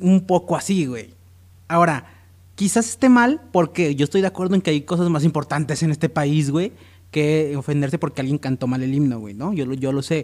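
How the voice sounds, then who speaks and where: The recording is very clean with a silent background. A man speaks in a normal speaking voice, fairly high in pitch, with lively intonation. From Mexico, Jalisco. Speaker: podcast co-host. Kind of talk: casual chat.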